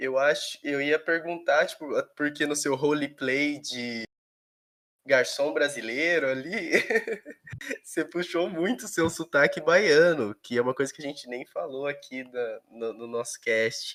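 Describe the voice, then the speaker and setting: Speaking fairly slowly with big swings in loudness, a man has an ordinary speaking voice at fairly high pitch. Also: ordinary pitch variation. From São Paulo state, Brazil. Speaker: podcast host. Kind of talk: casual chat.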